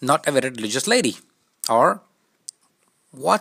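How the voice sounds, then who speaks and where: In a dry, close sound with no echo, a man with a non-native accent talks at medium pitch, his tone bright and sharp and his intonation lively. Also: very clean recording, silent background. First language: not English. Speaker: YouTube commentator. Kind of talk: casual commentary. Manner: halting.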